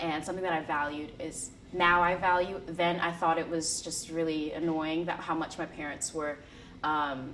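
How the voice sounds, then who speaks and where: A woman speaks at a moderate pace and a fairly low pitch, with monotone, flat intonation. Audible room echo fills the recording. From US, small town. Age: 20s. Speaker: student. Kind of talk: interview. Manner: casual, with many fillers and repeats.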